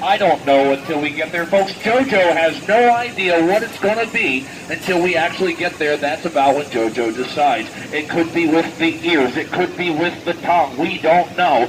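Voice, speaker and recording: With an animated tone, a man speaks high and fairly quickly. Pitch variation is ordinary, and background noise is noticeable. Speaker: sideshow host / barker. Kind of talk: barker outside-the-tent come-on to passersby. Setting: outdoors, live crowd at a fairground. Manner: showman, animated, jokey.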